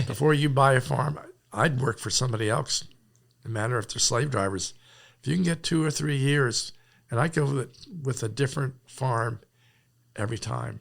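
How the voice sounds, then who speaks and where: A man's medium-pitched voice with vocal fry, ordinary pitch variation, a moderate pace and long, frequent pauses, in a very clean recording with a silent background. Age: 70s. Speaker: farmer. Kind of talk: interview. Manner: halting.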